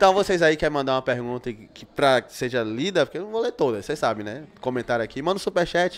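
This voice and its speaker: The delivery is very fast, with lively intonation and hardly any pauses. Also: man, fairly high pitch for a man. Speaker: podcast host. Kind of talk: casual podcast chat. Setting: studio. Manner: informal, profane. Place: studio. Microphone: studio mic.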